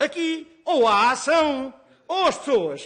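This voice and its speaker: A man uses a raised, projected voice with lively intonation. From Portugal, Alentejo. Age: 60s. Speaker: nurse and farmer. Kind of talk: parliamentary hearing testimony. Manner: emotional, halting.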